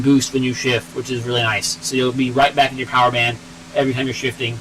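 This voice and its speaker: A man talks at a very fast pace, and noticeable background noise is heard behind him. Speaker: car mechanic YouTuber, engineer. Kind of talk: live stream tech talk in garage. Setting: garage.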